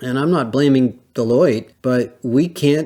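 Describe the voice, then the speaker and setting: A man with a normal speaking voice talks at a fairly slow pace, with a medium pitch and ordinary pitch variation. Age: 60s. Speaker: HR industry analyst, podcast host. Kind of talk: solo podcast monologue. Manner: conversational, with filler words.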